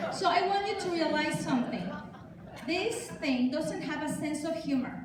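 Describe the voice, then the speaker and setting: An animated woman with a Mexican accent, high in pitch, her intonation lively and her pace moderate, with audible room echo and noticeable background noise. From Mexico. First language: Spanish. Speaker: hypnotherapist and author. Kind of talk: talk to a congregation.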